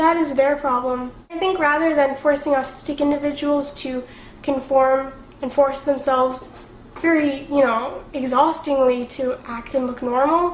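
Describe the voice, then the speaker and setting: A woman's high-pitched voice with fairly even intonation, amid noticeable background noise and audible room echo. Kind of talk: vlog to camera. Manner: fast; casual, filler words.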